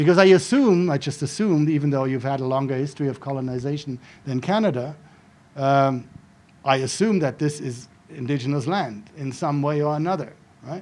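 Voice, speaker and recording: A man speaks with a German accent at a fairly quick pace. His voice sits fairly high, with ordinary pitch variation. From Germany (Frankfurt suburb). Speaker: professor. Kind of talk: lecture.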